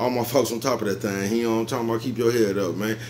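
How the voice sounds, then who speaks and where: A man talks at a very fast pace with fairly even intonation over light background noise. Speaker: vlogger. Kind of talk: casual vlog chat. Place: home room. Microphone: phone near.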